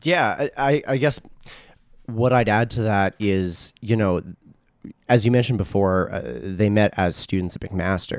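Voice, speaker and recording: A man with an unremarkable speaking voice, heard on a very clean recording over a silent background, delivers his words fairly slowly and with ordinary pitch variation. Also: fairly low pitch for a man. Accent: Canadian. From Edmonton, Alberta, Canada. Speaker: radio and podcast producer. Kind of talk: casual chat.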